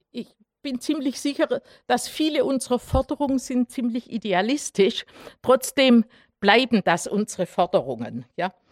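A high-pitched woman with a Swabian accent, moderate pace and ordinary pitch variation, in a dry, close sound with no echo and a very clean recording with a silent background. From Swabia, Germany (Herrenberg). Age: 60s. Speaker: human rights activist, mathematician. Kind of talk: lecture. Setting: public talk with audience.

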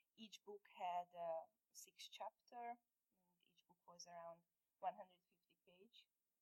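A woman speaks very slowly with a Hungarian accent, her medium pitch, dark and mellow tone and fairly even intonation captured in a dry, close sound with no echo. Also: big swings in loudness. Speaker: illustrator and comic artist. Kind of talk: onstage interview. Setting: stage with audience.

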